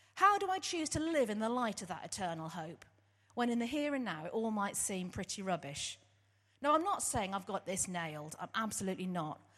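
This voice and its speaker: This woman talks at a fairly quick pace with an English accent and a medium pitch. Her pitch swings very widely against a quiet background. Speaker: church worker and theology student. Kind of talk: testimony. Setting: church service.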